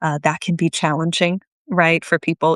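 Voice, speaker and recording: A woman in a normal speaking voice at a fairly low pitch and fairly quick pace, with a quiet background and a dry, close sound with no echo. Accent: American. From Japan (childhood), then United States. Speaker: workplace skills coach. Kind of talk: interview. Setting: live video stream.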